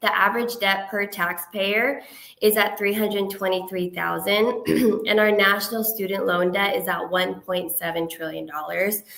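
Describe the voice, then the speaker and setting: At a moderate pace, a woman speaks with fairly even intonation in a space with audible room echo. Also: medium pitch for a woman. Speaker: financial advisor. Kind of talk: webinar presentation.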